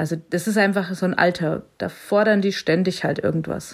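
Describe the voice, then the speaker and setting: Vocal fry runs through this woman's medium-pitched voice. She speaks at a moderate pace. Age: 40s. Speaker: blind mother and teacher on parental leave. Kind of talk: interview.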